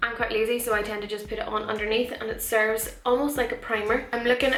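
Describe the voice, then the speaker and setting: A woman speaks at a fairly quick pace in a Northern Irish accent, her pitch fairly high. Noticeable background noise and audible room echo fill the recording. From Northern Ireland. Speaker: beauty vlogger. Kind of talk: chatty makeup tutorial. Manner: casual, chatty.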